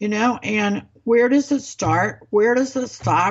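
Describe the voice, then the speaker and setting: Here is an ordinary speaking voice from a woman at a fairly high pitch. She talks at a fairly slow pace with lively intonation. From US Midwest, Ozarks. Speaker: political podcast co-host. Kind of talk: casual political chat.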